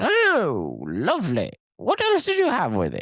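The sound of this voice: This is a put-on character voice in a British accent. It moves at a fairly slow pace.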